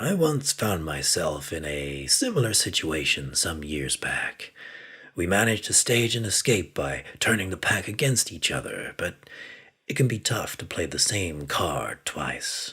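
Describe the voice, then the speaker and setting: Using a put-on character voice, a man with a fairly low pitch talks at a moderate pace with very wide pitch swings. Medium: read story. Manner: hushed, calm, confident.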